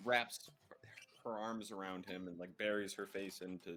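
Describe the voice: The voice is plain reading aloud, with fairly even intonation.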